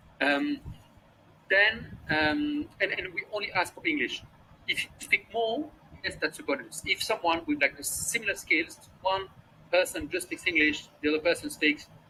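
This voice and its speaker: A man with a French accent projects a raised voice at a high pitch, with a bright, sharp tone. His pitch swings very widely while he keeps a moderate pace. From France. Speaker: startup co-founder. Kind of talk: interview. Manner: halting, many fillers and repetitions.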